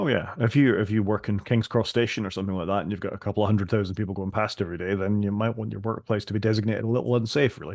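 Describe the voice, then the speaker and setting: The speaker has a Scottish accent and talks at a very fast pace with hardly any pauses. Intonation stays fairly even over a quiet background. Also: man, fairly low pitch for a man. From Scotland. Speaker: podcast co-host. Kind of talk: casual tech discussion.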